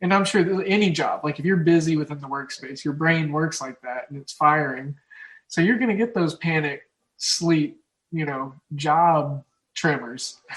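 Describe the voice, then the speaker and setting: The speaker has an Oklahoma accent. Loudness swings widely from moment to moment. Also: man, fairly high pitch for a man, ordinary pitch variation. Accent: Oklahoma drawl. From Oklahoma, US Midwest. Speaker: sports betting podcast host. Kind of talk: casual chat. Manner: halting.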